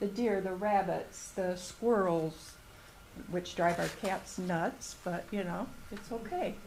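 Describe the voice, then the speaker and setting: Over audible room echo, a woman speaks slowly-ish, at a fairly slow pace, with a medium pitch and an American accent. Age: 70s. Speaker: retired resident speaking at public comment. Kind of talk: public comment at meeting.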